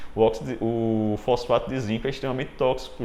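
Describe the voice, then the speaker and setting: Vocal fry from a man at a moderate pace, with audible room echo. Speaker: dentistry lecturer. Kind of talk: lecture. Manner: animated.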